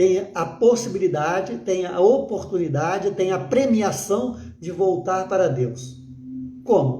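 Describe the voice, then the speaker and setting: Very slowly and with lively intonation, a man talks in a high pitch. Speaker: pastor. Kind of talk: sermon. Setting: livestream. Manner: halting with filler words.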